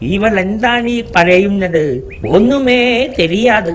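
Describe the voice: A cartoonish character voice, fairly high in pitch, moves at a fairly slow pace. Background noise is clearly heard.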